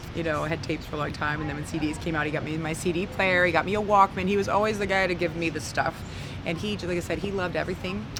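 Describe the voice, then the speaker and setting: Speaking very fast with an Upper Midwest accent, a woman uses a fairly low pitch and ordinary pitch variation, with audible room echo and noticeable background noise. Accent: Upper Midwest American. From northern Wisconsin. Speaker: blues singer. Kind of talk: interview. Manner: halting.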